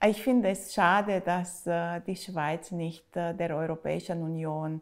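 A woman with a Romanian accent speaks at a very slow pace in a fairly low pitch, her intonation fairly even, with a quiet background. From Romania, Bucharest. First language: Romanian (speaking German). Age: 40s. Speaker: writer; interviewee. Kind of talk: interview statements. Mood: calm, thoughtful. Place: home room.

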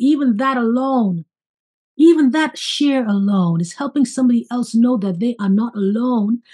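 Against a quiet background, a woman talks at a moderate pace with a fairly high pitch, ordinary pitch variation and a dark, mellow tone. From St. Kitts, Caribbean. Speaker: podcast host, life coach. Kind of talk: casual interview chat. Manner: animated. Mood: warm, spiritual, encouraging. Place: home room. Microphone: video call.

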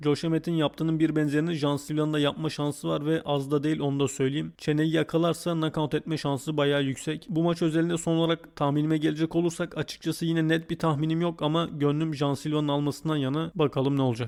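The speech comes very fast with hardly any pauses and a monotone, flat intonation. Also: man, fairly high pitch for a man. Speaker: MMA YouTuber. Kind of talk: fight preview commentary. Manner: casual, joking.

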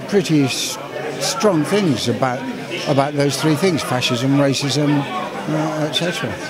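A man's voice with crowd noise in the background. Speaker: actor. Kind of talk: interview answer.

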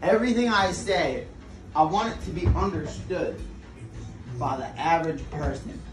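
Faint music plays in the background as a man speaks at a high pitch and a fairly slow pace. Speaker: casual vlogger. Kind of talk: casual vlog chat. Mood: playful, earnest advice. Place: kitchen.

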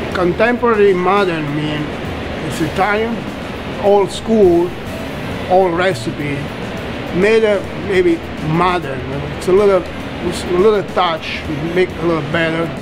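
Over music in the background, a man speaks at a fairly slow pace with ordinary pitch variation and long, frequent pauses. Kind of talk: interview answer. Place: kitchen.

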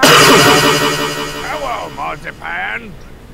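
A put-on character voice booms at a very deep, low pitch. Clear echo and loud background noise fill the recording. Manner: panting, winded.

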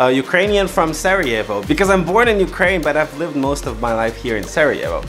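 Fairly quick speech with clear music in the background. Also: man. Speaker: vlogger. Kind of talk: casual vlog chat. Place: office.

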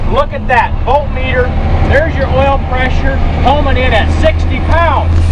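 The speaker talks at a fairly slow pace over loud background noise. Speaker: truck salesman. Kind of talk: hard-sell closing pitch urging viewers to phone now. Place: car. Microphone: phone near.

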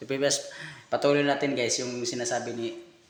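A man talks with a fairly high pitch. Background noise is noticeable. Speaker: vlogger commenting on a clip. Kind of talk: casual commentary.

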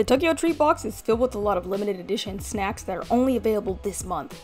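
Faint music plays in the background as a woman speaks at a very fast pace. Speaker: lifestyle vlogger living abroad. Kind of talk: sponsored product review vlog chat. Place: home room.

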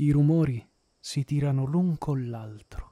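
A man's somewhat breathy voice has a dark, mellow tone and ordinary pitch variation. The sound is dry and close with no echo. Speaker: audiobook narrator. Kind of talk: literary audiobook reading, narrated in the first person. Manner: slow, measured and expressive, with a lyrical, contemplative tone; smooth and evocative, with pauses at the descriptive passages.

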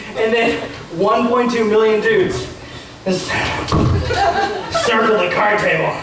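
A man's high-pitched voice with ordinary pitch variation, a fairly bright tone, a moderate pace and strong room echo

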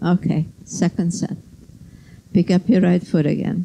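This woman has a dark, mellow tone and speaks at a fairly slow pace. Light background noise can be heard. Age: 80s+. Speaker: yoga teacher. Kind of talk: led yoga class instruction. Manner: precise, constantly reminding. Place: gym.

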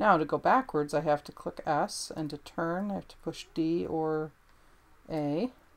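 The speech moves at a fairly slow pace with ordinary pitch variation. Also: woman. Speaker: gameplay commentator. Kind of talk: casual gameplay commentary. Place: home room.

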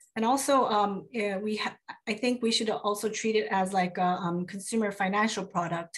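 Her voice is medium-pitched and somewhat breathy, with fairly even intonation and very even loudness. The woman keeps a moderate pace against a quiet background. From South Korea. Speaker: consumer advocate and lawyer; lawyer. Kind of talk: panel discussion. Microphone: video call.

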